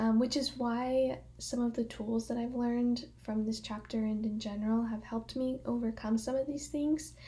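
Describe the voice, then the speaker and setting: A woman's fairly high-pitched voice, dark and mellow in tone, at a moderate pace with hardly any pauses and monotone, flat intonation. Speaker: college student. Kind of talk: class speech presentation. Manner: projecting, louder than usual; filler words, um.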